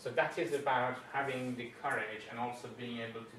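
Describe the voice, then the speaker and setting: Over noticeable background noise, a man talks at a moderate pace and medium pitch with big swings in loudness. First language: not English. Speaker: coach and former engineer. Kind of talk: conference talk. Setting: conference room. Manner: halting.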